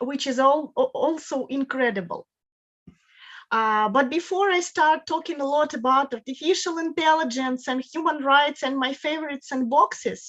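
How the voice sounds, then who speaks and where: In a quiet setting, a woman speaks at a high pitch and moderate pace with ordinary pitch variation. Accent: Russian. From Russia. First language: Russian. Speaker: guest lecturer on law. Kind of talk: lecture. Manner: halting, with repetitions.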